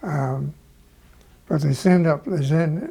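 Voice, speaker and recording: A man with a Canadian accent, fairly high in pitch, with a dark, mellow, somewhat breathy tone, fairly even intonation, and a fairly slow pace. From Ontario, Canada. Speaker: war veteran, army doctor. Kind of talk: interview answer.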